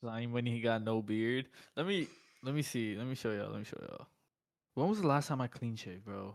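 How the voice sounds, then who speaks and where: A man with an American accent talks at a medium pitch, leaving long, frequent pauses. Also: ordinary pitch variation, fairly quick pace. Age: 20s. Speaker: day trader and streamer. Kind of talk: casual chat.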